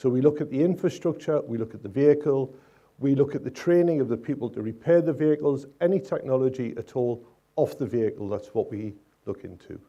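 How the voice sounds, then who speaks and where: A man with a northeast England accent speaks in a dark, mellow, medium-pitched voice whose loudness swings widely. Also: ordinary pitch variation, fairly quick pace. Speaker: electric vehicle infrastructure project manager. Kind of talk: panel discussion.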